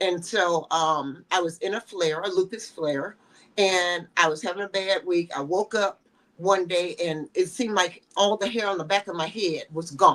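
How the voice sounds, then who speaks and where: A woman speaks at a moderate pace in a plain, everyday voice. Her pitch is medium, with ordinary variation. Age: 60s. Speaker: fashion model. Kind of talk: interview.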